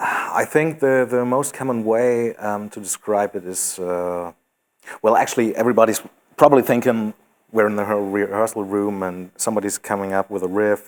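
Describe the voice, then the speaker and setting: A man with a German accent speaks at a moderate pace with fairly low pitch and fairly even intonation. The recording is very clean, with a silent background. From Germany. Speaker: metal band singer. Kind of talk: casual interview. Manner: hesitant, many fillers.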